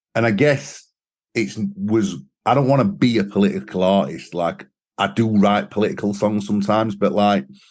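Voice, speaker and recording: A man with a Sheffield accent speaks with lively intonation over a quiet background. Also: fairly low pitch for a man, moderate pace. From northern England, Sheffield. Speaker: singer and songwriter. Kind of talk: interview. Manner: casual.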